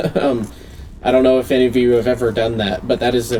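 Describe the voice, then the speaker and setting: A man at medium pitch with noticeable background noise. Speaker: gaming youtuber. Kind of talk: gameplay commentary. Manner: loud. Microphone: poor vocal audio.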